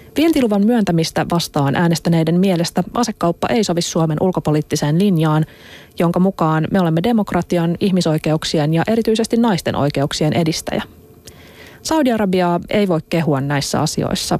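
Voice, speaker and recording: A woman has an unremarkable speaking voice, fairly low in pitch, with ordinary pitch variation and very even loudness at a moderate pace. The sound is dry and close, with no echo. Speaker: radio host. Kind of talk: radio interview. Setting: studio.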